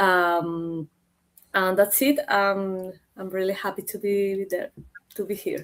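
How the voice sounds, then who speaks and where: Speaking in a Spanish accent at a medium pitch, a woman goes at a very slow pace with long, frequent pauses. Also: fairly even intonation. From Chile. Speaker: author. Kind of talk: panel discussion. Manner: halting.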